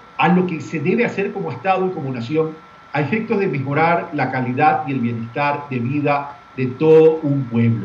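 A man speaks at a fairly quick pace in a fairly high voice with lively intonation, over light background noise and audible room echo. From Ecuador, Guayaquil. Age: 60s. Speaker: presidential pre-candidate and former journalist. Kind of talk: political interview. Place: office. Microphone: webcam.

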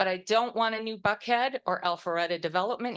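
An American accent at a fairly quick pace with ordinary pitch variation, over a quiet background. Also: woman. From US Midwest, Wisconsin. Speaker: resident giving public comment. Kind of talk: public comment at council meeting. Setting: city council meeting with audience.

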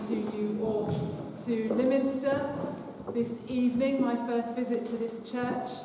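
Fairly slow speech with noticeable background noise and audible room echo. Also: woman. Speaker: bishop leading a service. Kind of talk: liturgical welcome address. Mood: warm, lightly humorous. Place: church. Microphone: lapel.

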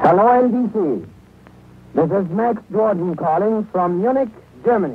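Pitched high, a man talks at a fairly slow pace with ordinary pitch variation and a dry sound with no echo. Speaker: radio news correspondent reporting live from Munich. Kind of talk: live radio news report. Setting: shortwave transatlantic broadcast, 1930s. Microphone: old recording.

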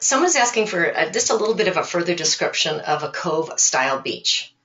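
A woman with a normal speaking voice talks at a fairly quick pace with lively intonation. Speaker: webinar host. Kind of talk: webinar moderation. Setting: webinar.

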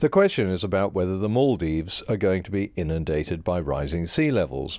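With music in the background, a man with a very deep, low pitch talks at a fairly quick pace with lively intonation. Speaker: science communicator. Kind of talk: explanatory commentary video. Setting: non-studio recording gear.

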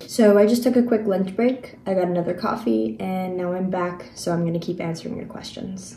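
A woman talks with lively intonation and a relaxed tone, with hardly any pauses. Light background noise and room echo can be heard. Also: fairly quick pace. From New Zealand, partly raised in Singapore. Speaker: craft video creator. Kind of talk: casual chat. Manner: relaxed, with frequent ums. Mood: relaxed, chatty. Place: home room. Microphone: phone near.

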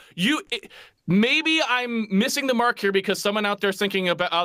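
A man's raised, projected voice, bright and sharp in tone, at a very fast pace against a quiet background. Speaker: remote interview guest. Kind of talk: interview answer. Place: home room.

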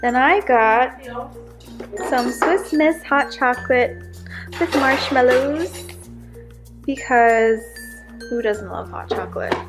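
Speech comes at a very slow pace with long, frequent pauses while music plays clearly in the background. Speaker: vlogger. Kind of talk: casual vlog chat. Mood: cheerful. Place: home room. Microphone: phone near.

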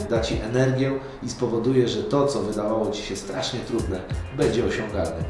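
A man speaking at a moderate pace, clear music in the background and audible room echo. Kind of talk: motivational talk to camera. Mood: warm, earnest, smiling.

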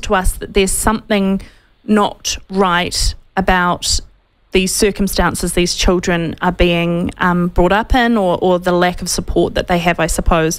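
With a New Zealand accent, a woman speaks at a fairly slow pace and with fairly even intonation over a quiet background. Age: 30s. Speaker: talk radio host. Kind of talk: interview. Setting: studio. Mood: concerned, serious. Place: studio. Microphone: studio mic.

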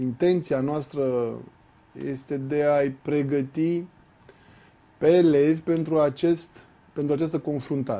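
At a very slow pace, a man talks in a fairly high voice. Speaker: school inspector; guest. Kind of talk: interview. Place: studio. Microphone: lapel.

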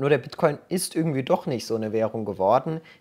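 The background stays quiet while a man speaks. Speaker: crypto YouTuber. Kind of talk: tutorial. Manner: casual, direct address. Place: home room. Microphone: webcam.

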